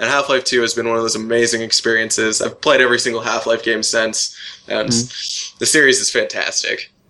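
A man's fairly quick speech in an American accent over noticeable background noise. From California. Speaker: programmer. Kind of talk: casual chat.

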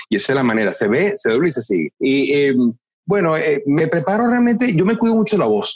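This man's voice is high, with very wide pitch swings. He moves at a fairly quick pace while his loudness stays very even. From Venezuela. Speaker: voice actor. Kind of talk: interview. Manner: animated.

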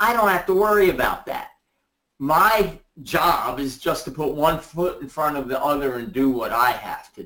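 A man talks at a fairly slow pace, his tone bright and sharp and his intonation lively. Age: 60s. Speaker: essential oils distributor. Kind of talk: interview on a group call. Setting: conference call.

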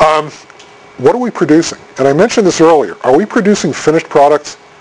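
A man with an American accent, lively intonation and a fairly quick pace, over noticeable background noise. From Boston area. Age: middle-aged. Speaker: technical communication consultant and speaker. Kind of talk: conference presentation.

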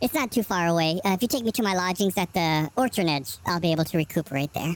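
Using a put-on character voice at middle pitch, the speaker rattles along at a very fast pace. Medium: actual play. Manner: polite, gentle, genteel.

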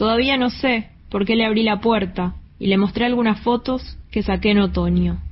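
At a fairly slow pace, a woman with a somewhat breathy voice talks at a medium pitch with fairly even intonation. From Argentina, Santa Fe. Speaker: poet. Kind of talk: poetry reading.

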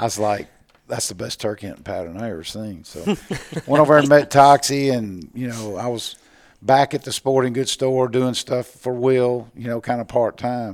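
Speaking with a Mississippi accent, a man keeps a moderate pace and medium pitch with ordinary pitch variation. His loudness swings widely. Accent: Mississippi Southern US. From US South, Mississippi (Natchez). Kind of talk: casual interview. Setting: convention show floor.

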